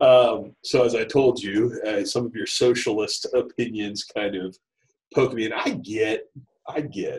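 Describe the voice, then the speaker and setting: A man speaks with a Midwestern American accent. His pace is very slow. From US Midwest (Dayton, Ohio area). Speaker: school principal. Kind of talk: interview conversation. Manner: halting, many fillers and repeats.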